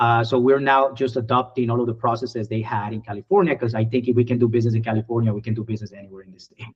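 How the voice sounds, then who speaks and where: The voice is somewhat breathy and very fast, with hardly any pauses and big swings in loudness. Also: man, medium pitch for a man, fairly even intonation. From Colombia. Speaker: IT services business owner. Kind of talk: podcast interview.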